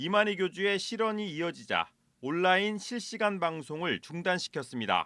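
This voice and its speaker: In a very clean recording with a silent background, a man with a high pitch and a bright, sharp tone speaks in a raised, projected voice at a moderate pace with ordinary pitch variation. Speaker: news reporter. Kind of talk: TV news report.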